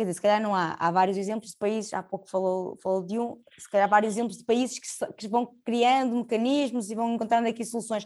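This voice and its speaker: A woman with a fairly high pitch talks at a very fast pace, with hardly any pauses and fairly even intonation. Her loudness swings widely against a quiet background. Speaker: podcast host. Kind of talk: interview.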